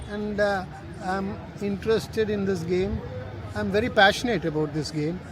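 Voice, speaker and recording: With noticeable background noise and audible room echo, a man speaks at a high pitch with fairly even intonation and long, frequent pauses. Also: moderate pace. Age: 70s. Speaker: veteran cricket supporter. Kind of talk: interview.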